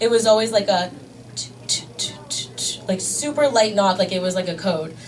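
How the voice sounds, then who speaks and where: With a US East Coast accent, a woman talks at a fairly quick pace and fairly high pitch, with audible room echo and noticeable background noise. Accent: US East Coast, fast talker. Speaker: stand-up comedian. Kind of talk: stand-up. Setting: stage with audience. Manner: fast.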